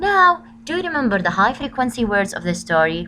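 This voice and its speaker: A woman speaks with a bright, sharp tone and a fairly high pitch. Her voice shows vocal fry and very wide pitch swings. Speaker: school teacher. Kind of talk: recorded lesson for pupils.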